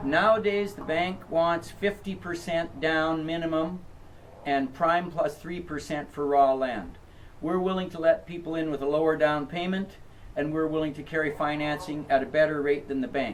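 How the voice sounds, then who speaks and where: Intonation stays fairly even as the speech unfolds at a moderate pace. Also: man, fairly high pitch for a man. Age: 60s. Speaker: property seller. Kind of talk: interview. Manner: hesitant, frequent uh fillers.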